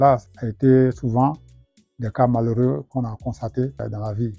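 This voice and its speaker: A man's dark, mellow tone at a fairly slow pace. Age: 70s. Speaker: retired rural engineer. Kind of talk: testimony. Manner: halting, hesitant.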